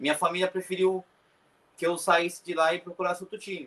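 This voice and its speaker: A man speaks with a high pitch. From Brazil, Cotia, São Paulo state. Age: 20s. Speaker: professional footballer. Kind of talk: interview.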